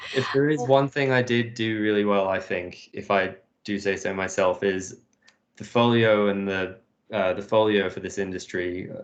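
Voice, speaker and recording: A man with a British accent speaks at a fairly low pitch. His pace is moderate and his intonation fairly even. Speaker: industrial designer. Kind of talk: casual chat. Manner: hesitant, many fillers.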